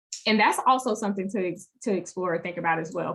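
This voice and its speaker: A woman speaks with an Alabama accent. Her pitch is fairly low. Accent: US Southern (Alabama). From Alabama, Monroeville (rural). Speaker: advocacy organizer. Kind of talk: online teach-in presentation.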